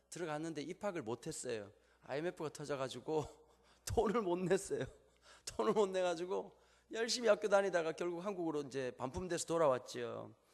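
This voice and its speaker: A man with a Gyeongsang accent talks at a fairly quick pace, his pitch high. His intonation is lively. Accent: Gyeongsang regional Korean. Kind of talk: casual, storytelling.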